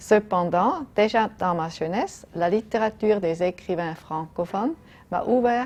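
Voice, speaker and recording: A woman speaks at a medium pitch, with ordinary pitch variation and a fairly slow pace. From German-speaking Switzerland. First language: German (speaking French). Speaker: diplomat. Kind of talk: prepared statement.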